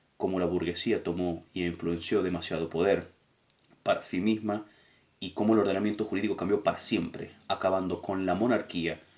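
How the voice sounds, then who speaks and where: Flat, monotone intonation from a man with a very deep, low pitch. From Argentina. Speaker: political education teacher. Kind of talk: lecture summary.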